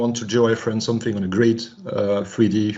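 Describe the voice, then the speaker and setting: A medium-pitched man with a French accent, with audible room echo. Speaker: climate researcher. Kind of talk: video conference discussion. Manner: halting.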